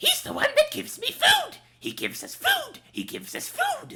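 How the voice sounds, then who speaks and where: The put-on character voice is squeaky and extremely high-pitched, delivered at a moderate pace. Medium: actual play. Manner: repeats itself, two heads echoing.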